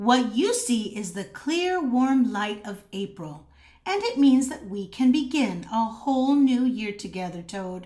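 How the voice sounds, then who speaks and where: A woman uses a put-on character voice with a high pitch. She speaks at a fairly slow pace. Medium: read story.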